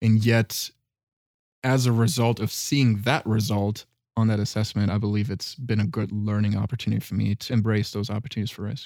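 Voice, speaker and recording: With a German accent, a man speaks at a fairly quick pace. His pitch is fairly low and his intonation fairly even. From Germany. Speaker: consultant. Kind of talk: personal testimony. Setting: studio. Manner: articulate.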